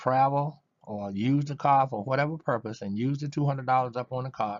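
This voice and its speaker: Here a man talks at a fairly quick pace. His pitch is medium and his intonation fairly even. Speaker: network marketing presenter. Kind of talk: sales pitch. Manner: fast; halting, with fillers.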